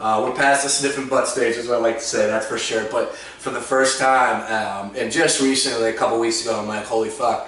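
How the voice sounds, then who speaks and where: A man with an American accent speaks at a medium pitch and a fairly quick pace with fairly even intonation and hardly any pauses, amid audible room echo and noticeable background noise. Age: 30s. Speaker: podcast host. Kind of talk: casual chat.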